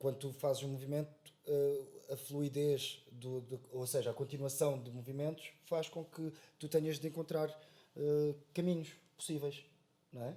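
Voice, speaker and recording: A man's fairly high yet dark, mellow voice, somewhat breathy, moves at a fairly slow pace with monotone, flat intonation. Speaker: actor. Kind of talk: casual podcast conversation. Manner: halting, many filler sounds.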